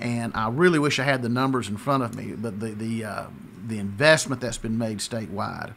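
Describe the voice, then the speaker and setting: A man's fairly quick speech, with ordinary pitch variation, rises over light background noise. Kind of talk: interview answer. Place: office. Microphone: studio mic.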